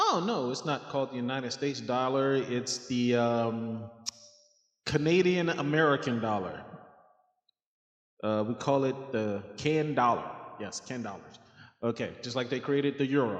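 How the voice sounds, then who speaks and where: Speech at a moderate pace with ordinary pitch variation and long, frequent pauses carries audible room echo. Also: man, medium pitch for a man. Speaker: finance video creator. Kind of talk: casual explainer talk. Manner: loud; hesitant, many fillers.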